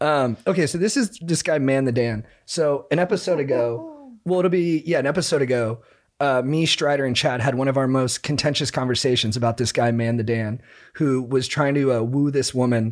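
This man has an ordinary speaking voice at a medium pitch. His pitch varies in an ordinary way and his loudness stays very even. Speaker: podcast co-host. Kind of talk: casual chat.

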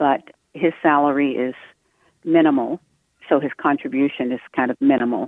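With an American accent, a woman speaks in a very deep, low voice, her intonation fairly even and broken by long, frequent pauses. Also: moderate pace. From Massachusetts. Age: 70s. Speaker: caller, nurse. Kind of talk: call-in question. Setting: phone call.

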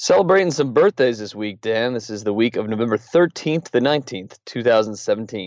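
This is a normal speaking voice at a fairly quick pace with hardly any pauses. Its intonation is lively. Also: man, medium pitch for a man. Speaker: podcast co-host. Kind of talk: news discussion. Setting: studio.

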